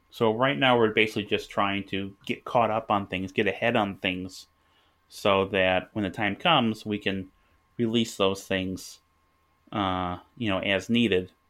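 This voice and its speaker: A man with a normal speaking voice talks at a fairly slow pace, his pitch fairly low and his intonation fairly even. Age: 30s. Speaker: board game designer and publisher. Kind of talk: casual chat. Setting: remote call.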